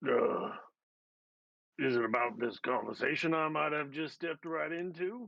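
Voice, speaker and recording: Putting on a raspy character voice, a man talks at a moderate pace with a fairly high pitch, lively intonation, and long, frequent pauses. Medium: actual play. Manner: rambling, filler-heavy.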